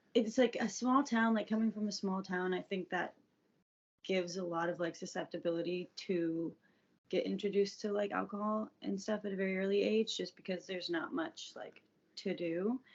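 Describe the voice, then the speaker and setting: A woman uses a plain, everyday voice at medium pitch with an American accent. She keeps a moderate pace and ordinary pitch variation. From US South, Atlanta suburbs (Georgia). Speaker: podcast guest sharing recovery story. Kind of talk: casual interview, personal testimony.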